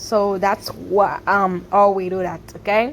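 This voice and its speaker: Speaking very slowly, a woman talks with a Haitian accent. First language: Haitian Creole. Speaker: cooking vlogger. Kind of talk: casual cooking tutorial voiceover. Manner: halting, with fillers.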